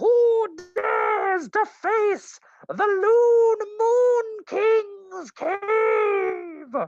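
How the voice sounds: A bellowing, put-on character voice at an extremely high pitch drags along at a very slow pace.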